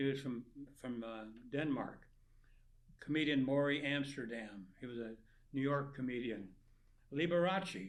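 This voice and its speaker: There is audible room echo as a man with a fairly high pitch speaks at a moderate pace with ordinary pitch variation. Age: 90s. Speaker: nonprofit founder. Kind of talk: interview.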